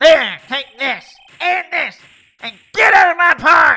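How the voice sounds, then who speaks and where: Extremely high pitch in a put-on character voice, at a fairly slow pace. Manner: angry, shouting.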